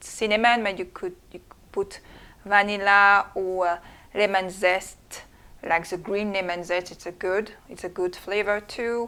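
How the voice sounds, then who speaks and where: Fairly slow and fairly even in intonation, a woman speaks with a French accent. Her pitch sits in the middle range. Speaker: home cook. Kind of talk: cooking tutorial. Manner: halting. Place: kitchen.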